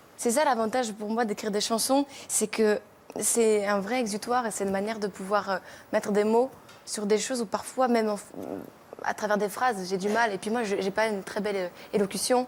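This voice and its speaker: A woman talks at a fairly quick pace with fairly even intonation, leaving long, frequent pauses. Noticeable background noise is present. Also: fairly high pitch for a woman. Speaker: singer-songwriter. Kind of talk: TV interview. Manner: fast, poor articulation.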